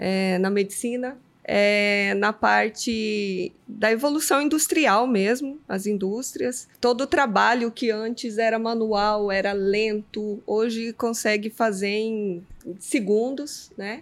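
A woman with a fairly high pitch speaks at a very slow pace, her pitch varying in an ordinary way. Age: 40s. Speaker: technology professional. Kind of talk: casual panel discussion.

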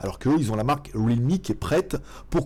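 This man talks very fast at a medium pitch, with lively intonation and a dark, mellow tone. The recording is very clean, with a silent background. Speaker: tech YouTuber. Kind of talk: casual live stream chat. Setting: home studio, computer mic. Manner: usually loud.

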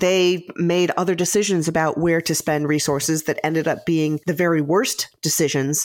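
A woman speaks in a fairly low voice at a moderate pace. Her loudness stays very even, and she barely pauses. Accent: American. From US Midwest. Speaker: author and strategist. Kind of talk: interview.

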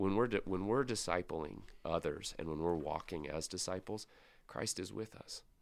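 Speaking with an American accent, a man with a very deep, low pitch talks at a moderate pace with ordinary pitch variation. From US Pacific Northwest, Spokane, Washington. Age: 30s. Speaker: pastor. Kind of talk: podcast interview. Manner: casual, with filler words.

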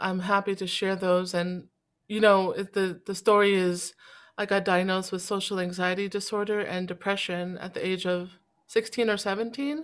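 On a very clean recording with a silent background, a woman with an American accent uses an ordinary speaking voice at medium pitch, fairly even intonation and a moderate pace. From Boston, US. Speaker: singer-songwriter and spoken word artist. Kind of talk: interview about mental health.

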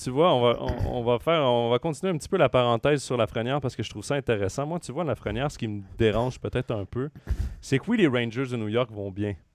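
Talking very fast, this man keeps a medium pitch with ordinary variation in it. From Quebec, Trois-Rivières. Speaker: hockey podcast host. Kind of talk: sports talk show. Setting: live stream with chat.

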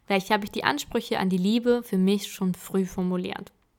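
A woman at a moderate pace and medium pitch. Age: 20s. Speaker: podcaster. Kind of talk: personal monologue podcast.

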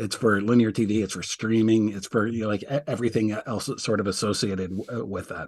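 Talking at a very fast pace with hardly any pauses, a man with a fairly low pitch keeps his intonation fairly even over a quiet background. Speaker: sports media reporter. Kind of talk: interview. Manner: halting, repeats words.

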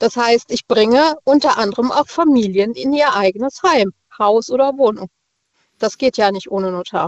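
A plain, everyday voice from a woman, fairly high-pitched, with lively intonation and a moderate pace. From Rastatt, Baden. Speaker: caller, notary office clerk. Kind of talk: casual phone chat. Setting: phone call.

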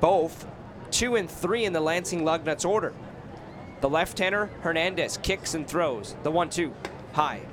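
Over noticeable background noise, a man with a high pitch speaks in an energetic tone with ordinary pitch variation and long, frequent pauses. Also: moderate pace. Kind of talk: live baseball play-by-play commentary. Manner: clipped, steady and energetic.

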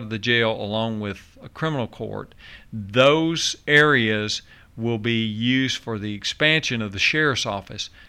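In a Tennessee accent, a man with a bright, sharp tone speaks at a fairly slow pace. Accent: Southern US (Tennessee). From Nashville, Tennessee. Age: 60s. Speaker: county mayor. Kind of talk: radio interview.

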